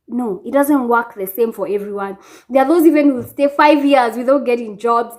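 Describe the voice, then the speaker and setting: A woman speaks with a Kenyan accent. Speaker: vlogger. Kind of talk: casual vlog chat. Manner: animated.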